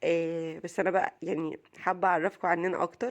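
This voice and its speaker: The speaker has an Egyptian accent and a fairly slow pace. The background is quiet. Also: woman. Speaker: vlogger, mother. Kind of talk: casual vlog talk.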